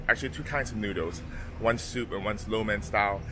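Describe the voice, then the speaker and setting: Here a man speaks at a fairly low pitch. There is noticeable background noise behind him. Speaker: travel vlogger. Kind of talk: casual vlog chat. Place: street. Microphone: phone near.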